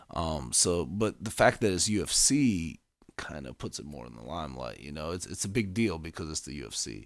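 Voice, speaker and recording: A man with a very deep, low pitch and vocal fry talks at a fairly quick pace, his pitch swinging very widely and his loudness rising and falling sharply. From Ukraine. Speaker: podcast co-host. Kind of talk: casual chat. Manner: stuttering.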